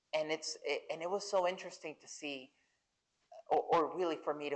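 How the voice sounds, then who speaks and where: Delivery comes at a moderate pace. It carries a Spanish accent. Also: woman. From central Mexico. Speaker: Air Force veteran and LGBTQ+ advocate. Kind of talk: fireside chat interview. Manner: halting, with repeated false starts.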